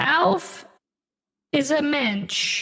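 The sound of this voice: A woman's high-pitched, put-on character voice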